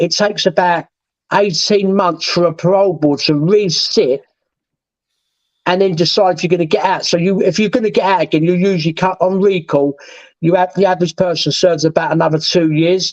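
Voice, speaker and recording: A man with a southeast English accent speaks in a high pitch, with fairly even intonation and very even loudness. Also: fairly quick pace. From southeast England. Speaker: former prisoner. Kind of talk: interview.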